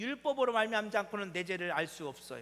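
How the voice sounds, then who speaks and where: A man's high voice swings very widely in pitch as he talks at a moderate speed. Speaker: pastor. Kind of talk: sermon. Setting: church. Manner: conversational, frequent rhetorical questions to congregation.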